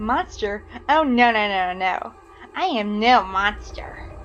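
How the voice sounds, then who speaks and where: A woman's put-on character voice at a fairly slow pace, over clear background noise. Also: medium pitch for a woman. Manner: menacing, eerie.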